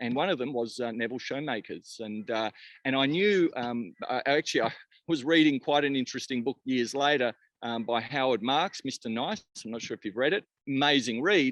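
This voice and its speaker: Against a quiet background, a voice with an Australian accent talks at a fairly quick pace with ordinary pitch variation in a dry, close sound with no echo. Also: man, medium pitch for a man. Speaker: cannabis company founder. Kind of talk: podcast interview.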